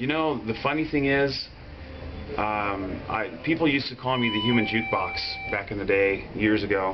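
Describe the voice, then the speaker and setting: A man with ordinary pitch variation holds a moderate pace as noticeable background noise persists. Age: 30s. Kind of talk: interview answer. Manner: casual, conversational. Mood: warm, reflective. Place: home room.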